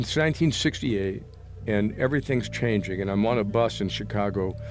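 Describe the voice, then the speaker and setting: Music is playing in the background. A man speaks over it at a fairly quick pace. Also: fairly low pitch for a man, ordinary pitch variation. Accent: American. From US Midwest, Springfield, Illinois. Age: 70s. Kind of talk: casual chat. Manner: halting.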